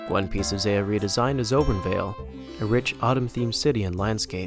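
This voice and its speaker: With music playing behind him, a man speaks at a fairly quick pace in a fairly low voice that makes very wide pitch swings. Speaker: game map designer. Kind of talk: scripted video essay narration.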